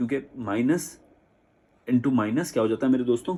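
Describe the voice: A man talks at a fairly quick pace in a medium pitch, with ordinary pitch variation. His slightly mellow tone has vocal fry and a slightly husky edge.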